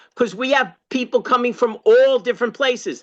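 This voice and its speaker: The background stays quiet while a man projects his voice loudly. His tone is bright and sharp. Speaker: party activist, former candidate and state chair. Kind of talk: workshop discussion comment. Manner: halting, many fillers.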